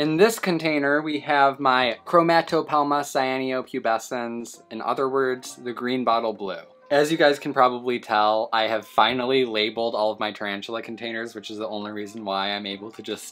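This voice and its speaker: Speaking at a moderate pace with hardly any pauses, a man shows big swings in loudness and ordinary pitch variation over faint background music. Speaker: pet keeper vlogger. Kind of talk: casual vlog chat. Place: home room.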